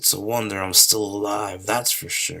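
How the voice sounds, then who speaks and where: Putting on a character voice, a man sounds raspy at a fairly low pitch. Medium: game stream. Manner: chatty, casual.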